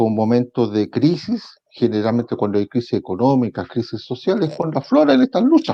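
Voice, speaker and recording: Hardly pausing at all, a man talks at a medium pitch with ordinary pitch variation. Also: moderate pace. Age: 60s. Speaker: trade union leader. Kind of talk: interview. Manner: halting, many fillers and repetitions.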